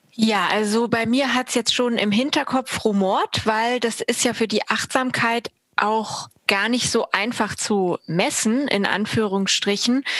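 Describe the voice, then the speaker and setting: A woman's fairly high voice at a very slow pace, with fairly even intonation, very even loudness and a dry, close sound with no echo. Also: hardly any pauses. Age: 30s. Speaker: party board member. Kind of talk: interview.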